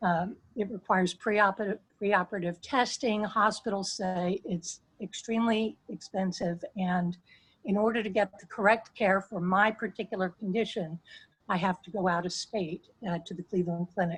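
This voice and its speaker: This woman's voice sits at a medium pitch and is somewhat breathy, with fairly even intonation. She talks at a moderate pace, and her loudness swings widely. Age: 60s. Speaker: constituent sharing health story. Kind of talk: testimony. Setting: video call.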